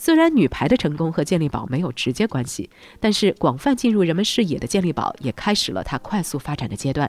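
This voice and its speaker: The speech comes at a very fast pace with hardly any pauses. The recording is very clean, with a silent background. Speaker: news podcast host. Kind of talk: news reading.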